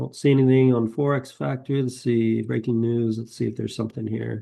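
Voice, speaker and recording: The man speaks at a fairly quick pace and medium pitch. His tone is dark and mellow, with fairly even intonation. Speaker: futures day trader. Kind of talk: live screen-share trading commentary. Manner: casual, hesitant, with fillers.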